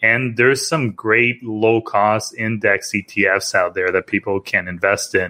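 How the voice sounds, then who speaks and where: Fairly low in pitch, a man speaks at a moderate pace with fairly even intonation in an unremarkable speaking voice. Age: 30s. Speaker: investing podcast host. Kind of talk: casual chat.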